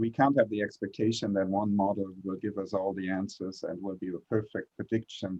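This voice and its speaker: Speaking at a fairly quick pace with hardly any pauses, a man uses a fairly low, monotone, flat delivery. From Germany. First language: German. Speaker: clinical researcher. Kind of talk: panel discussion. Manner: halting, many fillers.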